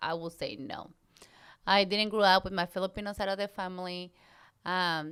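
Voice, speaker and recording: Speaking in a Mexican accent, a woman with medium pitch uses a monotone, flat intonation. She leaves long, frequent pauses, and the recording is very clean with a silent background. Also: moderate pace. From Mexico. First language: Spanish. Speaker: podcast co-host. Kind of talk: casual chat.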